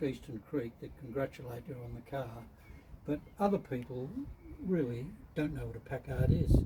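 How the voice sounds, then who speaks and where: Using lively intonation, a man speaks at a moderate pace with an Australian accent. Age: 80s+. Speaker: classic car owner. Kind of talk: interview. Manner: halting.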